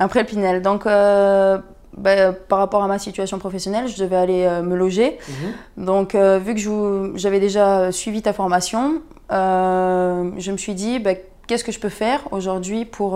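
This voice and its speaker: A dark, mellow tone with fairly even intonation moves at a fairly slow pace, on a very clean recording with a silent background. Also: woman, medium pitch for a woman. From southern France, Perpignan. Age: 20s. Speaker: property investor, medical sales rep. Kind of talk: interview. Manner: halting.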